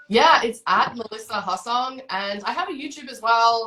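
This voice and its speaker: Speaking with an Australian accent, a woman has a fairly high pitch and a moderate pace. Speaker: motorcycle coach. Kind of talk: podcast interview.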